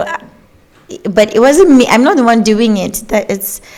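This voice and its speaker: With noticeable background noise behind her, a woman speaks at a fairly slow pace with ordinary pitch variation. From Nigeria, Kaduna State. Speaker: gospel singer and songwriter. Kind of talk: interview. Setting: studio.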